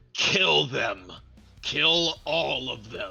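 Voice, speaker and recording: Someone performs a put-on character voice. Faint music plays in the background. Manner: shouting, commanding.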